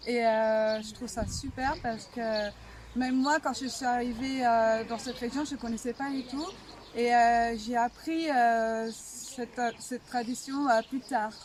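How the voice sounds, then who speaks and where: Her pitch is high, and her intonation is fairly even. This woman speaks at a very slow pace. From Bulgaria, raised in France from age 4. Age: 20s. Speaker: folk dancer. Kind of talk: interview. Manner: halting, hesitant.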